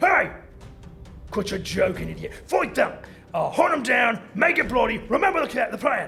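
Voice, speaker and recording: A man uses a gruff, put-on character voice at an extremely high pitch and a moderate pace. Clear music plays in the background. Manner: gruff, commanding.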